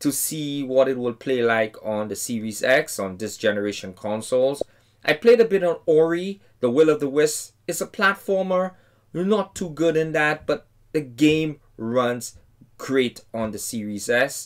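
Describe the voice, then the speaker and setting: At a fairly slow pace, a man talks with very wide pitch swings over light background noise. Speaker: game reviewer. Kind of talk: casual review commentary. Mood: enthusiastic. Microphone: headset.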